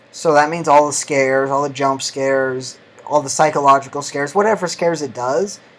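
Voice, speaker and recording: Over noticeable background noise, the speaker goes at a fairly quick pace. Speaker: YouTuber. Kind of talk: casual vlog.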